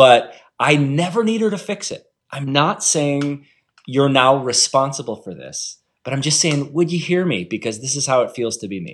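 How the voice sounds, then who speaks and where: A man with an ordinary speaking voice talks at a moderate pace, his fairly high pitch carried by lively intonation. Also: big swings in loudness. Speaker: author. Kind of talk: casual interview chat. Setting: video call.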